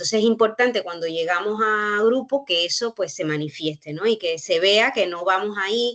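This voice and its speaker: A woman's medium-pitched voice with a Cuban accent, ordinary pitch variation, a moderate pace and hardly any pauses. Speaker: university researcher. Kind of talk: panel discussion. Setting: online workshop. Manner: halting, with frequent fillers.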